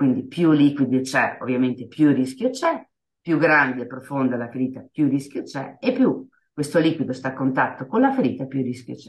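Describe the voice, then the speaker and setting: Her voice sits very deep and low for a woman. She keeps a moderate pace and fairly even intonation. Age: 50s. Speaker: HIV awareness activist. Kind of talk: interview. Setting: radio studio.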